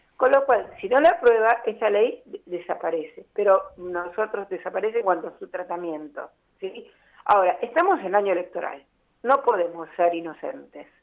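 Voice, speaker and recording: A woman with an unremarkable speaking voice and medium pitch uses lively intonation, her loudness swinging widely. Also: moderate pace. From Buenos Aires, Argentina. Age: 60s. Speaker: architect and urban planner. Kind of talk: radio interview.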